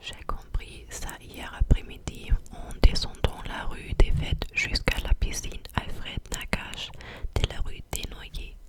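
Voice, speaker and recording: A woman whispers at a very slow pace, her loudness swinging widely. Background noise is noticeable. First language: not French (speaking French). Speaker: ASMR creator. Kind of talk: casual chat to viewers; ASMR reading aloud. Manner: soft-spoken, close to the mic; halting, many hesitations.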